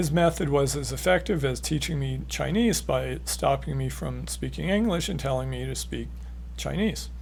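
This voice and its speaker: The speech moves at a moderate pace, and room echo is audible. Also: man. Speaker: author and educator on stuttering therapy. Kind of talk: educational talk. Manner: repetitions and slight disfluencies.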